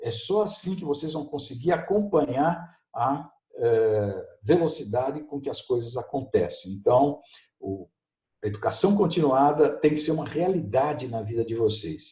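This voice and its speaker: A man talks with lively intonation at a fairly high pitch. His tone is dark and mellow, and somewhat breathy. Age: 60s. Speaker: professor. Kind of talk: video lesson conversation.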